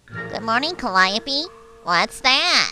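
The voice is a cartoonish character voice at a fairly high pitch. Faint music plays in the background. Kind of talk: children's show dialogue. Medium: puppet show. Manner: warm, friendly. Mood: friendly greeting.

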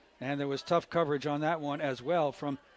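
A man speaks at a moderate pace. Light background noise is present. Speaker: radio play-by-play announcer. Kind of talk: live sports commentary. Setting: stadium broadcast booth.

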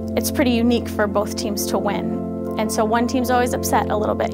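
A woman talks at a fairly quick pace over loud background music. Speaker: bowling coach. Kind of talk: interview answer. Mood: reflective, proud. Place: office.

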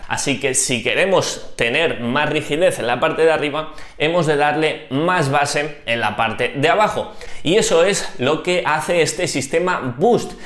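Audible room echo surrounds a man talking at a fairly slow pace with ordinary pitch variation. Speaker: cycling youtuber. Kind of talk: tutorial. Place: home room. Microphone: lapel.

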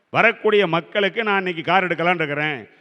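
His pitch high and its variation ordinary, a man speaks. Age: 60s. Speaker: astrologer. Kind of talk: lecture.

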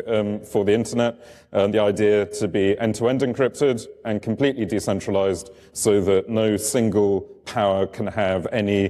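A man talks at a moderate pace in a fairly low pitch. He has a normal speaking voice. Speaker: conference speaker. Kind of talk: lecture. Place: tent.

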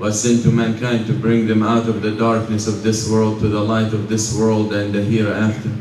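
The intonation is monotone and flat. Room echo is audible, along with light background noise. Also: man. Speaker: preacher. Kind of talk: sermon. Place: church.

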